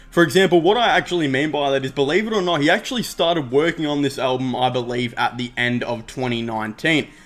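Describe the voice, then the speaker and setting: The voice is an ordinary speaking voice with ordinary pitch variation. It moves at a fairly quick pace. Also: man. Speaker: music commentary YouTuber. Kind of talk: casual commentary video.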